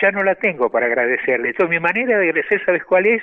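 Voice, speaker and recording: Very fast speech from a man with a high pitch and a Rioplatense accent. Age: 80s+. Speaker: tango pianist. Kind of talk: interview.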